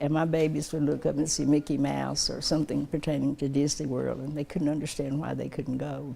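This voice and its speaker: A woman talks at a fairly quick pace with an Appalachian accent. She takes hardly any pauses. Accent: Southern Appalachian American. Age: 80s+. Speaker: community volunteer. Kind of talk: interview testimony.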